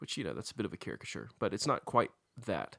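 On a very clean recording with a silent background, a man with vocal fry and a bright, sharp tone speaks at a fairly quick pace. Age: 30s. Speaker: pastor. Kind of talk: podcast discussion on fasting.

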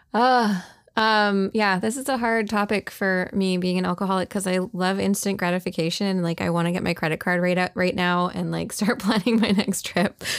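A woman talks fairly quickly with hardly any pauses, in an unremarkable speaking voice. Her pitch is medium and her intonation fairly even. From Canada. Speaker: discussion moderator. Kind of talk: casual chat. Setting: live online audio room.

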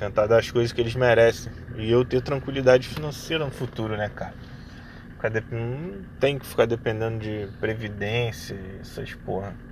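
A man speaks at medium pitch and a moderate pace. His intonation stays fairly even while his loudness swings widely. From Rio de Janeiro, Brazil. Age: 30s. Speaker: podcaster. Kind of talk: casual monologue. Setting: in a car. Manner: halting.

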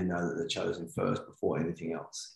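Here a man speaks with a New Zealand accent. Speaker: men's work coach. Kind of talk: casual interview.

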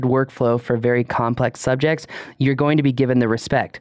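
A man speaks in a plain, everyday voice at medium pitch. His pace is fairly quick and his intonation fairly even. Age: 30s. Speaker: drone podcast co-host. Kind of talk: casual chat.

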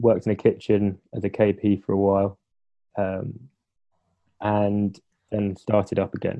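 Flat, monotone intonation marks a man's speech, which has long, frequent pauses. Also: fairly low pitch for a man. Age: 20s. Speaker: photojournalist. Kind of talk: casual chat.

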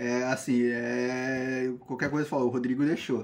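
A man speaks at a medium pitch. He has an unremarkable speaking voice. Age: 20s. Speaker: biology student and environmental activist. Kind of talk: casual interview.

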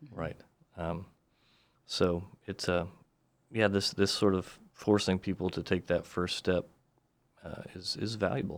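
A man with a very deep, low pitch speaks at a fairly slow pace. He leaves long, frequent pauses, and the recording is very clean with a silent background. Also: fairly even intonation. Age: 40s. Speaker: defense attorney and author. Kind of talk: casual interview.

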